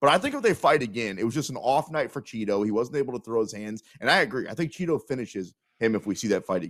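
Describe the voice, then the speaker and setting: With an American accent, this voice races along at a very fast pace with lively intonation and hardly any pauses, on a very clean recording with a silent background. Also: man, medium pitch for a man. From Kansas City, US Midwest. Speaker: sports betting radio host. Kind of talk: casual sports talk show.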